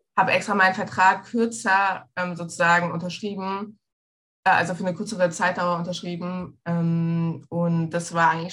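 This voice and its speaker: This woman has a fairly low pitch and monotone, flat intonation. She keeps a moderate pace. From Egypt. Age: 20s. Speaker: travel scholarship alumna. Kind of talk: interview.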